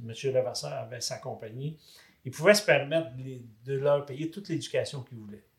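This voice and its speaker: A man speaks in a somewhat breathy voice at a fairly high pitch. His loudness swings widely. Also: ordinary pitch variation, moderate pace. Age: 70s. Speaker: married retiree sharing couple story. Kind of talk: casual interview.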